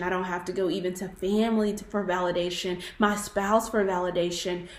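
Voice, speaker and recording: Audible room echo surrounds a woman speaking in a monotone, flat intonation. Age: 20s. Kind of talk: testimony.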